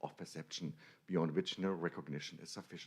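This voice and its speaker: A man is speaking. He has a German accent. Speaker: academic lecturer. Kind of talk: conference lecture. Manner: halting.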